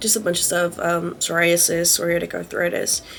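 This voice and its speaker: Noticeable background noise behind a woman talking at a fairly quick pace. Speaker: lifestyle vlogger. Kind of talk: casual vlog monologue. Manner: fast; hesitant, many fillers.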